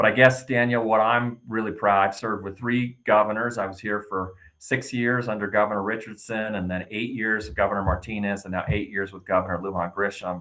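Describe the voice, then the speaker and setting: This man has an unremarkable speaking voice, fairly low in pitch, and he talks at a fairly quick pace with hardly any pauses, fairly even intonation, and big swings in loudness. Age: 60s. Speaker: state senator. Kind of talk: interview.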